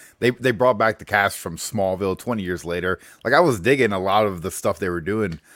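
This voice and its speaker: Over a very clean recording with a silent background, a man speaks at a fairly quick pace in a fairly low pitch, using a plain, everyday voice. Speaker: guest co-host comics fan. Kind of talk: casual chat.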